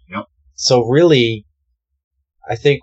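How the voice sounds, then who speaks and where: This is a man speaking. His pace is fairly slow. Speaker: paranormal podcast co-host. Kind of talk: casual discussion.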